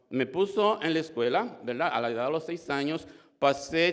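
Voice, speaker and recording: Here a man speaks at a fairly slow pace. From Dominican Republic. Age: 60s. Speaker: church member giving testimony. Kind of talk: testimony. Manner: halting, many fillers and repetitions.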